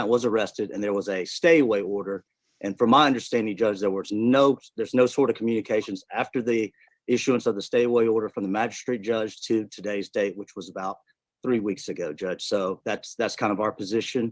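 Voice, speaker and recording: With a fairly low pitch, a man delivers his words at a fairly quick pace. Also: fairly even intonation. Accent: strong Southern. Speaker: defense attorney. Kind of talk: courtroom argument.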